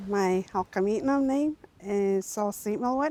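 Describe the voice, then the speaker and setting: Her voice sits at a medium pitch for a woman, with a dark, mellow tone and ordinary pitch variation. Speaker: First Nations community member. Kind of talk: interview testimony. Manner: hesitant with fillers.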